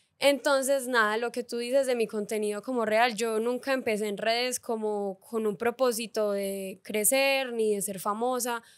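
A woman with a plain, everyday voice speaks at a fairly slow pace, fairly high in pitch with fairly even intonation, against a quiet background. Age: 20s. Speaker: influencer and content creator; influencer, content creator. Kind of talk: casual interview chat. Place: studio. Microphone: studio mic.

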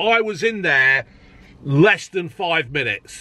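A raised, projected voice with a bright, sharp tone carries ordinary pitch variation in a dry recording with no echo. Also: man. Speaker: food reviewer. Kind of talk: casual vlog chat. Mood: jokey, chatty. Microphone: phone near.

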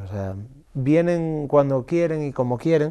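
Lively intonation from a man with a dark, mellow tone, over a quiet background. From Galicia, Spain. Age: 30s. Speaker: singer-songwriter; interviewee. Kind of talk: interview. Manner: animated. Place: meeting room. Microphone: lapel.

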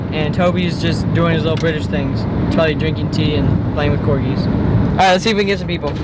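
Very fast speech, dry with no echo, over loud background noise. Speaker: vlogger holding camera. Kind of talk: casual vlog chat. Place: car. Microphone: phone near.

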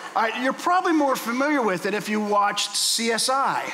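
A man with an American accent uses a raised, projected voice with very wide pitch swings. The recording has noticeable background noise and audible room echo. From US, Pittsburgh. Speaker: guest preacher. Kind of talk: sermon. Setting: church.

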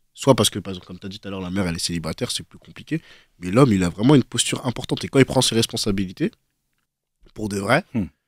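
Speech comes at a very fast pace with big swings in loudness and ordinary pitch variation, on a very clean recording with a silent background. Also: man, fairly low pitch for a man. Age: 20s. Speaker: young debater. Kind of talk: casual debate.

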